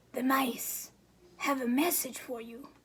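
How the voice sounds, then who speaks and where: A woman puts on a high, raspy character voice. She speaks at a fairly slow pace with fairly even intonation. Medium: read story. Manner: odd, cryptic.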